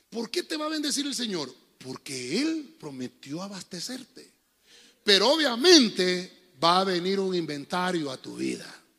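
Speaking in a raised, projected voice, a man talks fairly slowly at a high pitch with very wide pitch swings. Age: 40s. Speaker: pastor. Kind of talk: sermon. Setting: church. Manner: animated.

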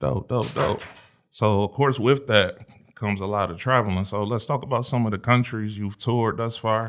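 An ordinary speaking voice from a man, medium in pitch with ordinary pitch variation, at a moderate pace in a very clean recording with a silent background. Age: 30s. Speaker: podcast host. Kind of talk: casual interview chat.

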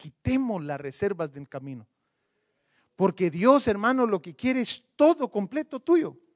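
A man's voice with very wide pitch swings, in a dry, close sound with no echo. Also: big swings in loudness. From Guatemala. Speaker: pastor. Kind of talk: sermon.

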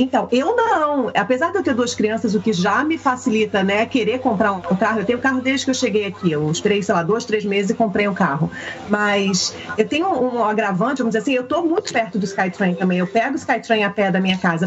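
Against noticeable background noise, a woman with a fairly high voice talks at a fairly quick pace with hardly any pauses. Her intonation is lively and her loudness stays very even. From Rio de Janeiro, Brazil. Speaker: Brazilian content creator living in Canada. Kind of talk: casual chat.

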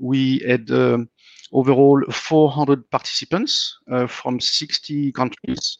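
A medium-pitched male voice with fairly even intonation. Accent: French. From France. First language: French. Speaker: tech company founder. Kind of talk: casual chat. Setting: video call.

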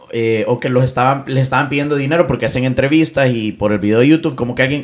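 Noticeable background noise behind a man with medium pitch. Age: 20s. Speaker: content creator and digital marketer. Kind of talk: casual chat. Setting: home studio. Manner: animated.

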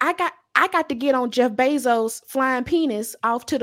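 Her voice is high-pitched, and this woman speaks in an animated tone with lively intonation. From Louisiana. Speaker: podcaster. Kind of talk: casual chat.

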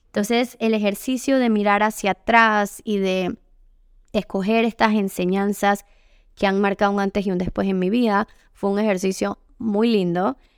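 A woman speaks at a moderate pace in a monotone, flat intonation, with a dry, close sound with no echo and a very clean recording with a silent background. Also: medium pitch for a woman. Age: 30s. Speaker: yoga teacher and women's retreat facilitator. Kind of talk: solo podcast monologue. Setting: home by the beach.

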